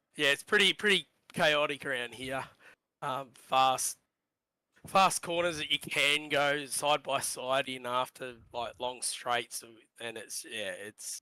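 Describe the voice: Doing a put-on character voice, a man sounds husky and raspy at a fairly high pitch, speaking at a fairly slow pace with long, frequent pauses and big swings in loudness.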